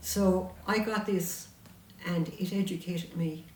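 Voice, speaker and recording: A woman with a Munster Irish accent speaks at a medium pitch in a monotone, flat intonation. Room echo is audible, and background noise is noticeable. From Ireland, County Tipperary. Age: 70s. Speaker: author and local historian. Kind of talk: interview chat.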